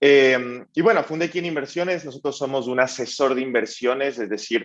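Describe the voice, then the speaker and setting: A man with an Ecuadorian accent speaks in a medium pitch. His pace is moderate, with ordinary pitch variation. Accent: Ecuadorian accent, remarked on. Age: 20s. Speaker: startup founder and CEO. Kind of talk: panel interview.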